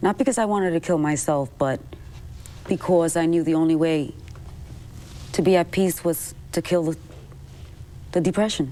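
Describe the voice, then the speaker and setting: A woman's fairly low voice at a moderate pace, with ordinary pitch variation and long, frequent pauses. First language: Spanish. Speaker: person with depression, singer. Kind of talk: TV talk show interview, personal testimony.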